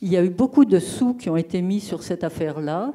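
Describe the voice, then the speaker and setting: A woman speaks in a dark, mellow tone. The background is quiet. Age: old. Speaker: retired geographer. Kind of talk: audience question. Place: hall.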